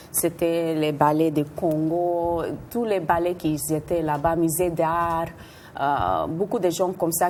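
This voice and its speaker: Speaking very slowly, a woman keeps her fairly low voice in fairly even intonation. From Puerto Rican, from New York. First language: Spanish or English (speaking French). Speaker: dancer and choreographer. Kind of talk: TV interview. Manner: halting, with hesitations.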